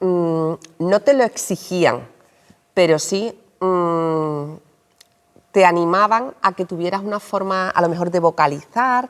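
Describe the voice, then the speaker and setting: A woman speaks in an Andalusian accent with ordinary pitch variation. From Andalusia, Seville. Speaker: journalist and writer. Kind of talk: interview. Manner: explanatory, addressing children.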